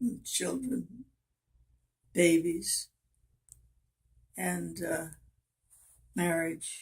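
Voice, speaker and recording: A woman with an American accent, talking at a very slow pace. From Oklahoma and Kansas, US. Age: 90s. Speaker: grandmother interviewed about her life. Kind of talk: casual family interview, life story. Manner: halting, with pauses and fillers.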